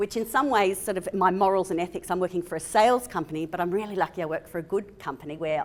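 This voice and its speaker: A woman talks with an Australian accent. Her voice sits at a medium pitch with ordinary pitch variation. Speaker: physiotherapist. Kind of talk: conference talk. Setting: stage with audience. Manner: loud.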